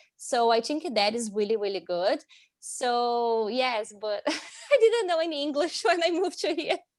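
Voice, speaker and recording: Her Brazilian accent clear, a woman with a high pitch speaks at a moderate pace with very wide pitch swings. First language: Portuguese. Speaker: international student. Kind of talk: casual interview chat.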